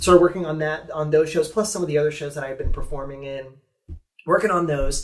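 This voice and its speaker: A man with an American accent and a fairly high pitch, very fast, fairly even in intonation, with big swings in loudness over a quiet background. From Ohio. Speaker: theme park performer; guest. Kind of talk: casual interview; interview answer. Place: meeting room.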